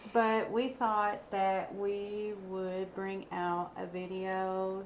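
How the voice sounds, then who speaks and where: Very slow speech in a Kentucky accent, with fairly even intonation and audible room echo. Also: woman, medium pitch for a woman. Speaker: true crime podcaster. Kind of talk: casual chat.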